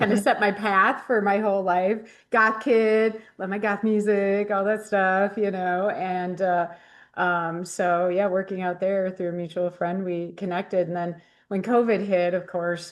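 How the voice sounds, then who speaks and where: The speech moves at a fairly slow pace with monotone, flat intonation. The background is quiet. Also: woman, medium pitch for a woman. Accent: American. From Wisconsin, Rice Lake. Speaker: bar and hotel owner, ghost hunter. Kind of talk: casual chat.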